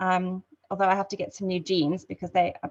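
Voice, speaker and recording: With a South African accent and vocal fry, a woman talks at a fairly quick pace and a medium pitch. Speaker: network marketing ambassador. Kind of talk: testimony. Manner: hesitant, many fillers.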